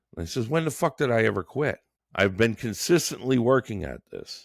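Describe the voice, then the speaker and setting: Vocal fry colors this man's voice. The recording is very clean and the background is silent. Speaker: podcast host, entrepreneur. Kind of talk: solo podcast monologue. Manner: halting.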